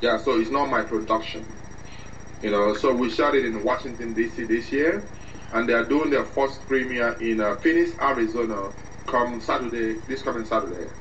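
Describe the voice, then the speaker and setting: Over noticeable background noise, a man with a medium pitch talks at a moderate pace with ordinary pitch variation. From Nigeria. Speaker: actor and filmmaker. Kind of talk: interview.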